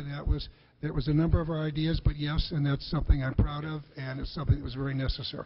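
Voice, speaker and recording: A man talks very fast in a somewhat breathy, flat monotone at a fairly high pitch. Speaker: former Secretary of the Treasury and bank CEO. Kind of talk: congressional hearing testimony. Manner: stammering, hesitant.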